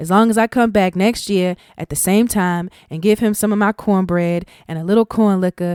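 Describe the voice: Simply plain reading aloud.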